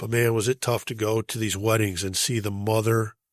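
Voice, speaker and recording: This man has a plain, everyday voice at medium pitch and an American accent. He speaks at a moderate pace on a very clean recording with a silent background. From US Midwest, Chicago. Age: 60s. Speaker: bereaved father and foundation leader, public speaker. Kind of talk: podcast interview.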